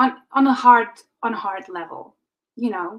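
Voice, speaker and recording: Her voice is high, and the woman speaks with a non-native accent. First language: not English. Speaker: intuitive reader. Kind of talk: live intuitive reading. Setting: livestream. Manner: halting, many fillers.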